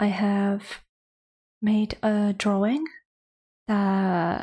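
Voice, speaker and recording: This soft-spoken woman has a medium pitch and a dark, mellow tone that is somewhat breathy. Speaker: artist streamer. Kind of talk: casual chat. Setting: home livestream. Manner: quiet, hushed; ASMR-like soft.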